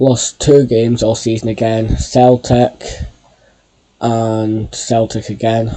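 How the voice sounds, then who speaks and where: Speaking very slowly in a Scottish accent, a man keeps his medium-pitched voice monotone and flat. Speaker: football video game YouTuber. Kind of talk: gameplay commentary. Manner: stuttering.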